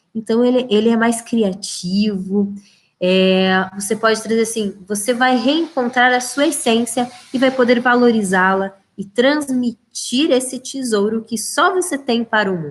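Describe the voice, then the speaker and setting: In a plain, everyday voice, the speaker goes at a fairly slow pace with ordinary pitch variation. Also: woman, fairly high pitch for a woman. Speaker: leadership trainer. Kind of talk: live webinar lecture. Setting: livestream.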